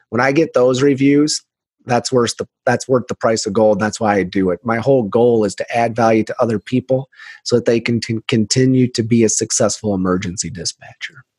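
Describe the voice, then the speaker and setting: With an American accent, a man in a plain, everyday voice talks at a fairly quick pace, medium in pitch with fairly even intonation, in a dry, close sound with no echo. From United States. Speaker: emergency dispatch trainer. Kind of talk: interview.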